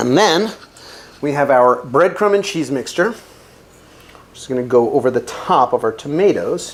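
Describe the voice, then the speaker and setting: Over noticeable background noise, a man with an American accent talks at a moderate pace in a fairly high voice with lively intonation. His loudness swings a lot, and he takes long, frequent pauses. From New Jersey. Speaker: chef. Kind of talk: cooking tutorial. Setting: home kitchen. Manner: casual, jokey.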